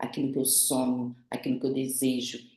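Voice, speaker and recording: The voice has a dark, mellow tone, and audible echo fills the room. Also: woman. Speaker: behavioral profile specialist, instructor. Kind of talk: online class, interactive lecture.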